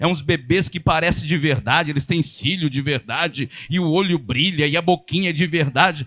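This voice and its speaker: An animated, high-pitched male voice. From São Paulo, Brazil. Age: 50s. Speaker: pastor. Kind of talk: sermon. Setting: church. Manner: fast.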